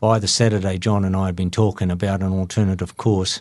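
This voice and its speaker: Over a quiet background, a man with a New Zealand accent speaks very fast in a very deep, low voice with flat, monotone intonation. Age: 60s. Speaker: running event organizer. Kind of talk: interview.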